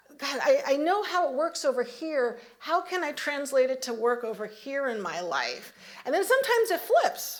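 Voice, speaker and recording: Over noticeable background noise, a woman speaks at a moderate pace in a high pitch with very wide pitch swings. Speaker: minister giving a Sunday talk. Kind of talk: sermon. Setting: church service with congregation.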